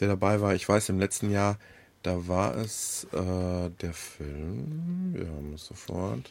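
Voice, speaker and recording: This man's voice sits very deep and low in pitch, with ordinary pitch variation. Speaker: app review podcast co-host. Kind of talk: casual chat. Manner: hesitant, many fillers.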